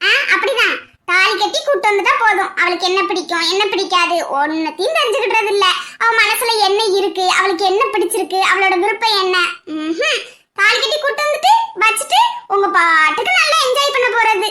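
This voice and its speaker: A woman's cartoonish character voice, extremely high in pitch, at a moderate pace with very even loudness. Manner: teasing, lively.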